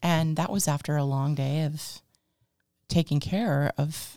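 Her pitch very deep and low, a woman with an American accent speaks at a fairly slow pace with very even loudness and ordinary pitch variation, on a very clean recording with a silent background. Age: 50s. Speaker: podcast host and business owner. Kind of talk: casual interview chat.

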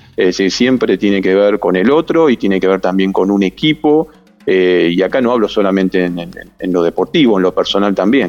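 Music plays in the background. The speaker keeps a moderate pace and lively intonation. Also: man. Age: 50s. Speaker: sports psychologist. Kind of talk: interview. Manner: halting.

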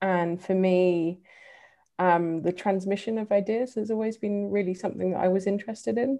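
With an English accent, a woman at medium pitch speaks at a moderate pace in a dark, mellow tone and fairly even intonation, the background quiet. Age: 30s. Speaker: diversity and inclusion advocate. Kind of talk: casual chat.

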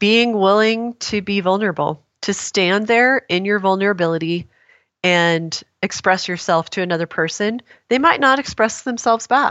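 A woman's plain, everyday voice at medium pitch and moderate pace, with ordinary pitch variation. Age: 50s. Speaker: wellness author and entrepreneur. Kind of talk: interview conversation.

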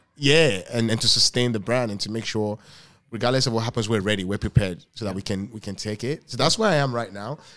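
A man's medium-pitched voice at a very fast pace with ordinary pitch variation, on a very clean recording with a silent background. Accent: Yoruba. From Lagos, Nigeria. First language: Yoruba. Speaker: restaurant owner. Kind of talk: casual interview conversation.

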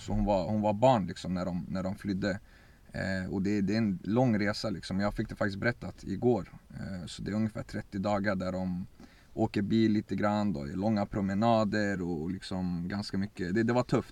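At a moderate pace, a man with a plain, everyday voice and fairly low pitch speaks with fairly even intonation. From Sweden, Örebro. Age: 20s. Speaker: footballer. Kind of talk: interview.

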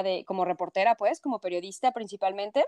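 A woman with a Mexico City accent speaks at a medium pitch. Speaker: journalist. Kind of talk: interview.

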